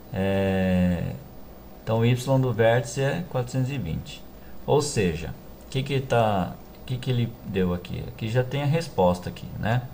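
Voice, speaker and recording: Heard with audible room echo, a man at a medium pitch sounds somewhat breathy, with lively intonation. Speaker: math teacher. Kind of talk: tutorial. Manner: halting.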